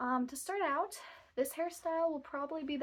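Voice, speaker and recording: The voice moves at a fairly quick pace with lively intonation. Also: woman. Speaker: book vlogger. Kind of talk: casual vlog talk. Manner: rambling, casual. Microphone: phone mic, no microphone.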